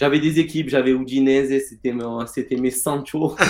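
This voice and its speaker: A man with an ordinary speaking voice, medium pitch and a fairly slow pace. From Marseille, southern France. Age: 20s. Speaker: fantasy football player and former sports bettor. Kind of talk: interview.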